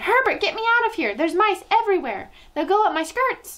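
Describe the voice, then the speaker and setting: A woman shouts at a fairly quick pace in a shrill, squeaky put-on character voice pitched extremely high. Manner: screaming in panic.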